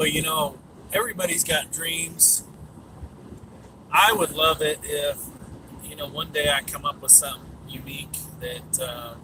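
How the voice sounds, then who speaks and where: Over noticeable background noise, a man speaks at a fairly slow pace with a fairly high pitch. His tone is relaxed, and his pitch varies in an ordinary way. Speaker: YouTuber live-streaming while driving. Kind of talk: casual live-stream monologue. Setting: in a car, driving on a highway. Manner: relaxed, many fillers; mumbling to himself.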